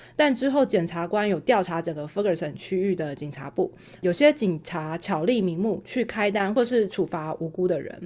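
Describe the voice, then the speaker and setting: Her tone dark and mellow, a woman talks with lively intonation in a Taiwanese accent. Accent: Taiwanese Mandarin. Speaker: podcast co-host. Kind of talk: casual chat.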